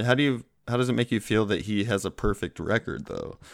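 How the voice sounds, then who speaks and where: Recorded very cleanly with a silent background and a dry, close sound with no echo, a man talks at a fairly quick pace with vocal fry and ordinary pitch variation. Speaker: co-host. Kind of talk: casual comedic banter.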